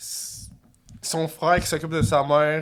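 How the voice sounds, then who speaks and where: The speaker is a man. He has a Quebec accent. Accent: Québécois French. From Quebec, South Shore of Montreal. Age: 30s. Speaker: podcast guest. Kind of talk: casual chat, personal story. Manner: hesitant, many fillers.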